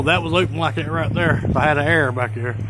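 A man's voice sounds dry with no echo, amid noticeable background noise. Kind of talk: casual vlog tour narration. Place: empty room. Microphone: phone near.

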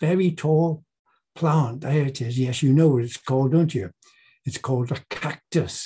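A somewhat breathy man at a fairly slow pace. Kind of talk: bible talk to a group. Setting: presentation with slides. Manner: informal, slightly halting. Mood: warm, playful teacher tone.

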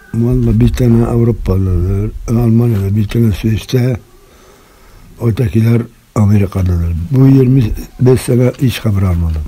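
Over noticeable background noise, a man talks at a fairly low pitch and a fairly slow pace. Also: ordinary pitch variation. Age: 70s. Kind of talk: interview answer.

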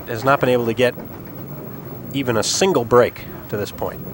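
Despite long, frequent pauses, a man talks at a fairly quick pace in an upbeat tone, with a dry sound with no echo and light background noise. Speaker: TV bowling play-by-play host. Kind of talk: live sports commentary. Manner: brisk, upbeat play-by-play announcer.

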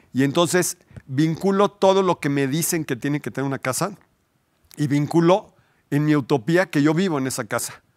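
On a very clean recording with a silent background and a dry, close sound with no echo, a man speaks at a fairly quick pace with fairly high pitch and ordinary pitch variation. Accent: Mexican. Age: 50s. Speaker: architect. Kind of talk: interview. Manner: halting.

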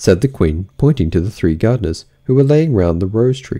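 Heard here is an unforced reading voice.

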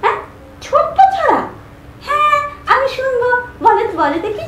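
An extremely high-pitched cartoonish character voice with slight echo. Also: moderate pace. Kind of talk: children's puppet show dialogue. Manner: excited, eager.

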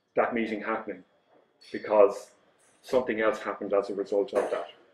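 A man talks fairly quickly, and room echo can be heard around him. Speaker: conference presenter. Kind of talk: lecture. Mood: wry storytelling. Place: hall.

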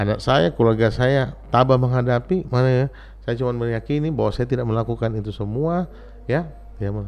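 In an ordinary speaking voice, the talker moves at a fairly quick pace with ordinary pitch variation. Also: man, medium pitch for a man. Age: 50s. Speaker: former city mayor. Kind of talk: interview. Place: studio. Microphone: studio mic.

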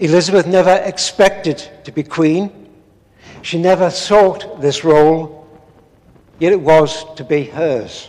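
A man talks slowly in a fairly high pitch, his slightly mellow tone carrying ordinary pitch variation.

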